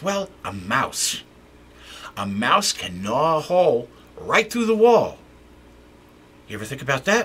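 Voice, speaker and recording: Using a put-on character voice, a man speaks high and fairly slowly, with long, frequent pauses. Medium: read story. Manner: excitable, chatty.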